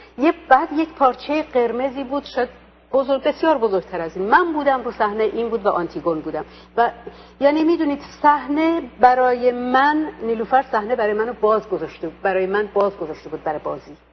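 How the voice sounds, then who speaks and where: A woman with an Azerbaijani accent, high in pitch with very wide pitch swings, at a very fast pace over noticeable background noise. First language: Azerbaijani (speaking Persian). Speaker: stage actress. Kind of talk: interview. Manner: hesitant, many fillers.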